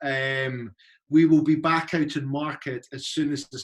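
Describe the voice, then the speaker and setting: A man with a Scottish accent speaks at a fairly slow pace. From Scotland. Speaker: university recruitment representative. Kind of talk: informational presentation. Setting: video call.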